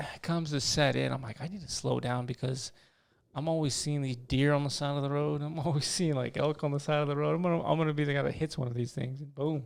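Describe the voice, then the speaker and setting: A man's fairly high voice, mumbling at a very fast clip with fairly even intonation, on a very clean recording with a silent background. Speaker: podcast host. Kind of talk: casual chat. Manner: soft-spoken.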